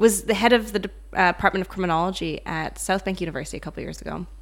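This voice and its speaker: A woman speaks at a very fast pace with a medium pitch and vocal fry. The recording is very clean, with a silent background. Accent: North American. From North America. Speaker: psychologist and author. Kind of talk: casual interview.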